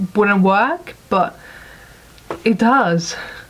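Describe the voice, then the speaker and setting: Here a woman speaks at a very slow pace with ordinary pitch variation. Background noise is noticeable. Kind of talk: casual talk to camera, film review.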